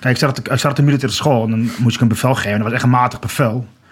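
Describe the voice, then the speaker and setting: Noticeable background noise accompanies a man who speaks at a very fast pace. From Achterhoek, Netherlands (Groenlo). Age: 30s. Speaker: walker and commemoration campaigner. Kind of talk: podcast interview. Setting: studio.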